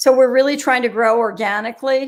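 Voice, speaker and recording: Her intonation stays fairly even. The woman has an unremarkable speaking voice. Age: 60s. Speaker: executive coaching assessment company founder. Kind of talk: interview.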